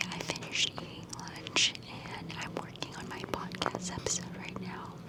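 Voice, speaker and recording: At a moderate pace, a whispered voice comes through noticeable background noise. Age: 20s. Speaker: vlogger and student. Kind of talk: casual vlog talk. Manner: whispering.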